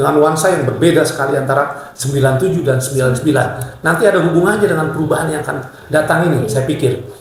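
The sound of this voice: The speaker talks at a fast pace with few pauses and ordinary pitch variation, and the room gives a strong echo. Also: man, fairly high pitch for a man.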